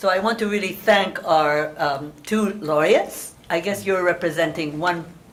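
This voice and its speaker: Amid noticeable background noise and audible room echo, a woman with a fairly low pitch talks at a moderate pace with hardly any pauses and ordinary pitch variation. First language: Hungarian. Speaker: moderator. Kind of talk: panel introduction.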